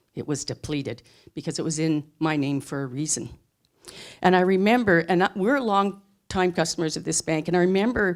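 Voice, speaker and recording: Very clean and silent in the background, the recording has a woman talking at a very fast pace. Her pitch is medium and her intonation lively. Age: old. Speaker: storyteller. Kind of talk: live storytelling.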